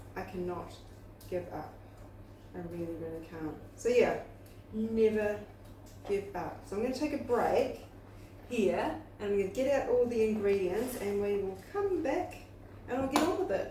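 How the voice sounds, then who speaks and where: Speaking at a moderate pace with long, frequent pauses, a woman uses a fairly high pitch and very wide pitch swings amid audible room echo and noticeable background noise. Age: 60s. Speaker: YouTuber, spiritual coach. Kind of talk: casual motivational talk to camera. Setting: home kitchen while baking. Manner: conversational, repetitive.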